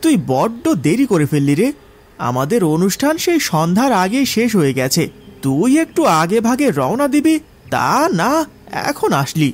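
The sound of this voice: Using a put-on character voice, a man speaks at a high pitch with big pitch swings. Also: fairly slow pace.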